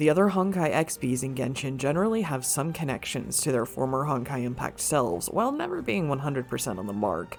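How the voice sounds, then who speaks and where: With music in the background, the speech runs at a very fast pace with hardly any pauses. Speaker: gaming lore video creator. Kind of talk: scripted narration.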